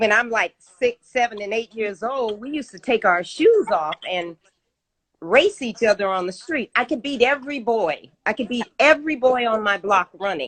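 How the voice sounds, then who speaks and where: Her intonation lively and her pitch fairly high, a woman speaks at a moderate pace in a dry, close sound with no echo. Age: 60s. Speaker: vegan chef and fitness expert. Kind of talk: interview.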